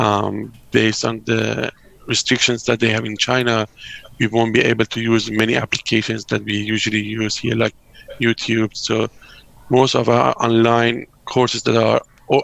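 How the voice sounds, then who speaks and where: Against noticeable background noise, a man speaks at a moderate pace in a medium pitch with monotone, flat intonation. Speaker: architecture academic. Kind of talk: video call panel discussion. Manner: halting with many fillers.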